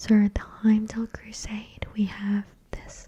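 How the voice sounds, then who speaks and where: Soft-spoken, the voice moves at a very slow pace. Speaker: ASMR creator. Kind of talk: reading aloud; casual chat.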